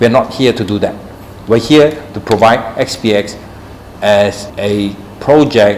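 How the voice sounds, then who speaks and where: Noticeable background noise sits behind speech with ordinary pitch variation. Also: man. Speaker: tech company CEO. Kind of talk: live Q&A session. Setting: live stream on social media. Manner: halting with fillers.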